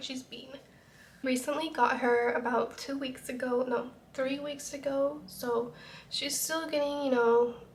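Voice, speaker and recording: A woman with an American accent talks at a fairly slow pace, her pitch high and its variation ordinary. Some room echo can be heard. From Utah. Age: 20s. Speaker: YouTuber. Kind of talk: casual get-ready-with-me vlog.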